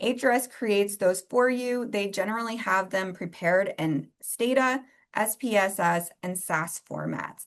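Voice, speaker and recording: A woman with a plain, everyday voice speaks at a fairly slow pace and medium pitch, with ordinary pitch variation over a quiet background. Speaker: researcher presenting a workshop. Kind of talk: lecture.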